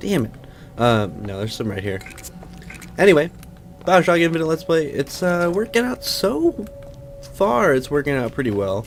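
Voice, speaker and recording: Over background music, a man with an American accent talks at a moderate pace and fairly high pitch, with very wide pitch swings and long, frequent pauses. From Pacific Northwest, USA. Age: young. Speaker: let's play youtuber. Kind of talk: casual gameplay commentary.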